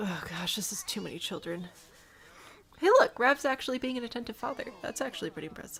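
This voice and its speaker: A woman's high voice with a Midwestern accent, very fast, with very wide pitch swings, over noticeable background noise. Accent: Midwest. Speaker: video game streamer. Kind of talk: casual live-stream commentary.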